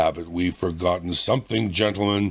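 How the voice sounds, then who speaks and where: A man's put-on character voice, raspy and very deep and low, with fairly even intonation at a moderate pace. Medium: read story. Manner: pontifical, placid.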